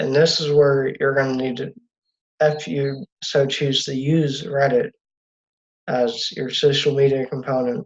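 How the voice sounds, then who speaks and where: Somewhat breathy, this man's voice sits at a fairly high pitch. His pitch varies in an ordinary way. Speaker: student presenter. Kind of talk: class presentation. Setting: video call. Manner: slow.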